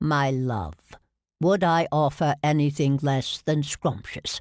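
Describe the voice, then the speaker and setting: In a put-on character voice pitched low-to-middle, the speaker goes at a fairly slow pace in a very clean recording with a silent background. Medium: read story. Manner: gallant, teasing.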